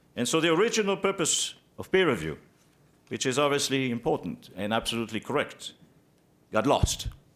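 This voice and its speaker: A man with vocal fry talks at a fairly quick pace, his pitch swinging very widely and his pauses long and frequent. The recording is very clean and the background silent. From Israel and Belgium. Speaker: physician. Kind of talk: testimony. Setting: senate committee hearing. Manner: formal.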